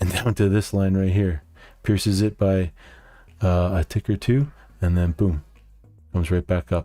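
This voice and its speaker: With a Canadian accent, a man speaks in a very deep, low voice with a dark, mellow tone, leaving long, frequent pauses on a very clean recording with a silent background. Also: ordinary pitch variation, moderate pace, very even loudness. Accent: Canadian, noticeable in speech. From Canada. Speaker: day trader, market video host. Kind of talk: market recap tutorial. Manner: casual, with frequent fillers.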